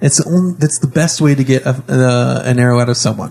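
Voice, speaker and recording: Speaking at a very fast pace, a man keeps a medium pitch. His intonation stays fairly even. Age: young. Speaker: podcast host and role-playing game player. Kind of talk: casual chat while playing tabletop game.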